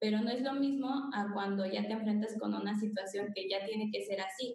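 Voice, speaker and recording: The speaker is a woman with a fairly high pitch. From Mexico, Querétaro. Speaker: preschool music teacher. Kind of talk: video call discussion. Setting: video call.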